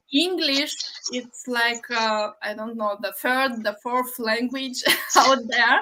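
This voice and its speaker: Speaking very slowly with a Romanian accent, a woman uses a high pitch and ordinary pitch variation over noticeable background noise. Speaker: livestream host, online business owner. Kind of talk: casual interview on a livestream. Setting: live video stream. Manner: halting.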